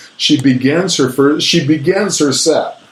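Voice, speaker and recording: There is audible room echo and noticeable background noise as a man talks in an animated tone. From New Mexico, Albuquerque. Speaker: author and stand-up comedian. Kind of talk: casual chat.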